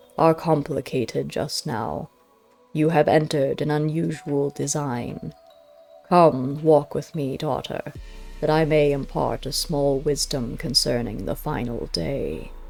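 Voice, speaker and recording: A put-on character voice at low-to-middle pitch moves at a fairly slow pace over faint music in the background. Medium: read story. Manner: slow, solemn, measured.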